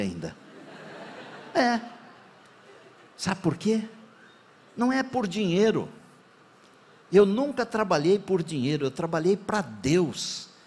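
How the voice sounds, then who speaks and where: Pausing long and often, a man with a high pitch lets his voice swing very widely up and down. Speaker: pastor. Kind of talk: sermon.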